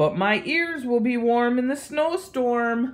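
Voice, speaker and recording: A woman's put-on character voice, high-pitched, at a fairly slow pace. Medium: read story.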